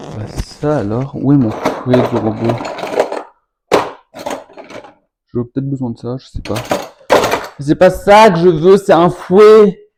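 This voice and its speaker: A man with a fairly high pitch talks at a very slow pace, his pitch swinging very widely and his loudness rising and falling in big swings, with long, frequent pauses. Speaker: home cooking youtuber. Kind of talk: casual cooking vlog. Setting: at home.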